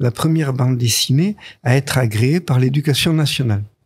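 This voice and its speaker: Lively intonation runs through a somewhat breathy voice. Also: man. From southern France, Nice. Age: 80s+. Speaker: comics author and artist. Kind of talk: interview. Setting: studio. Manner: halting.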